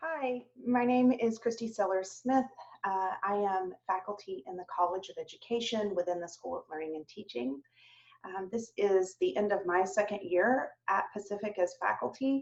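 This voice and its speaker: Lively in intonation, a woman talks at a moderate pace with big swings in loudness. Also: medium pitch for a woman. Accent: slight Southern US. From US South, Atlanta, Georgia. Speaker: professor. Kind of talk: virtual open house introduction. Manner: frequent fillers (um).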